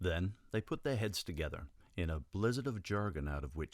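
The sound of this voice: An unforced reading voice carries intonation that rises and falls with liveliness.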